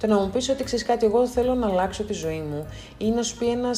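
A woman at a fairly quick pace with very wide pitch swings, music in the background. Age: 30s. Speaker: podcast host. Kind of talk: motivational monologue.

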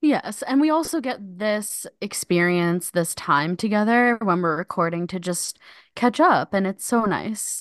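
A woman's ordinary speaking voice with lively intonation. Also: medium pitch for a woman, fairly slow pace. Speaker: podcast host. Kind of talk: casual comedic chat.

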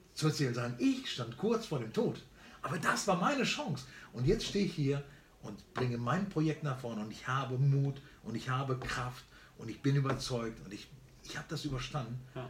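Amid audible room echo, a man of medium pitch talks at a moderate pace, his intonation lively and his loudness swinging widely. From Germany, born in Barcelona. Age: 50s. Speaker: entrepreneur and speaker. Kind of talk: casual interview chat. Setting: on a farm, filmed on camera.

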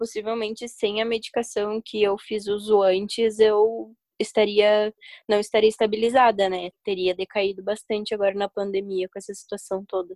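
Recorded dry and close with no echo, a woman at a medium pitch speaks at a moderate pace in a monotone, flat delivery with big swings in loudness. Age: 20s. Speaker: university student. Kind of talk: casual chat.

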